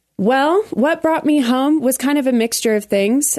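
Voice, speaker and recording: A woman with an American accent and a normal speaking voice talks at a moderate pace with lively intonation. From Colorado Springs, US. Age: 20s. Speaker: entertainer and entrepreneur. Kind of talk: casual chat.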